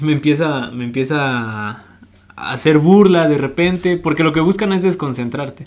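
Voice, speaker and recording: In an ordinary speaking voice, a man talks at a moderate pace, fairly high in pitch with ordinary pitch variation. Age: 20s. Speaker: professional footballer. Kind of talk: interview.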